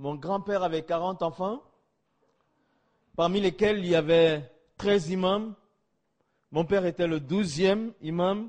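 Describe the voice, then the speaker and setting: In a quiet background, a man with a high pitch and ordinary pitch variation speaks at a fairly slow pace, with long, frequent pauses. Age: 50s. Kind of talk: testimony.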